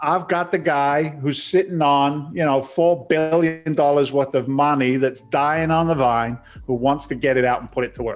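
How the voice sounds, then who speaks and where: A man at a fairly high pitch with an American accent, music in the background. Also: moderate pace, hardly any pauses. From London, England. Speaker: real estate investor and entrepreneur. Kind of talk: podcast interview. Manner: animated, conversational.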